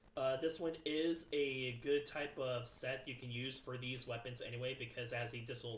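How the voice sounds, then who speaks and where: Somewhat breathy, a man speaks with ordinary pitch variation. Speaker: gaming youtuber. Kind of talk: game weapon tier list commentary. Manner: fast; halting, many fillers.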